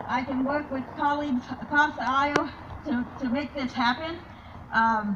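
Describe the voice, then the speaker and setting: Over noticeable background noise, a woman talks at a moderate pace with a high pitch. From Colombia. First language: Spanish. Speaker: political candidate. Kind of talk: campaign speech. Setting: candidate forum with audience. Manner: halting, many fillers and repetitions.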